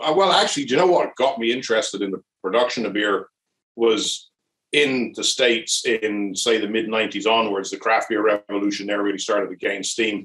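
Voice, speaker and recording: A man speaks with a Louth accent at medium pitch. His tone is bright and sharp, with ordinary pitch variation. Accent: Drogheda Irish. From Ireland, Drogheda (County Louth). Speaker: brewery owner. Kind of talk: casual interview. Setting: online video chat.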